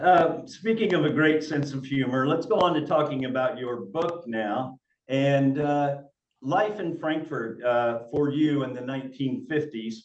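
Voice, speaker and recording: This man has a normal speaking voice, a fairly high pitch, and a fairly slow pace. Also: ordinary pitch variation. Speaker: librarian, interview host. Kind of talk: interview host talk.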